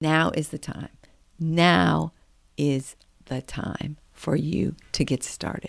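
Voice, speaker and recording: A woman speaks in an animated tone with vocal fry. The recording is very clean, with a silent background. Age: 50s. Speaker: podcast host. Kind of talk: casual monologue.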